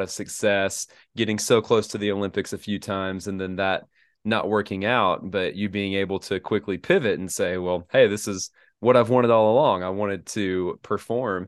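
A man speaks at a moderate pace in an unremarkable speaking voice. His pitch is fairly low and his intonation fairly even. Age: 20s. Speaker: podcast host. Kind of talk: casual interview.

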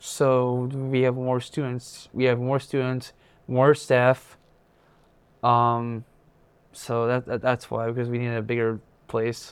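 A medium-pitched man at a very slow pace, with monotone, flat intonation and long, frequent pauses. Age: 20s. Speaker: transition program student. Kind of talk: interview. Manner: halting, repeats words.

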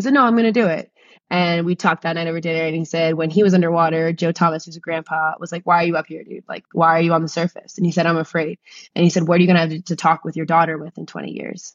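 Speaking very fast, a woman uses an American accent and a fairly low pitch. Her intonation is fairly even, but her loudness swings a lot. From New Jersey. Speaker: science teacher and scuba instructor. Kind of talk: interview conversation.

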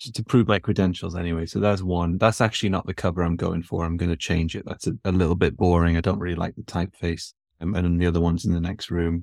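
In a very clean recording with a silent background, a man with a very deep, low pitch talks at a very fast pace with hardly any pauses and fairly even intonation. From northern England. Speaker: physiotherapist. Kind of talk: interview conversation.

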